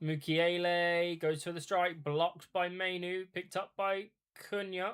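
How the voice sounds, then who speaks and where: With an English accent, a man talks at a high pitch in a monotone, flat intonation. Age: 30s. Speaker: football watch-along streamer. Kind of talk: live commentary. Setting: live stream.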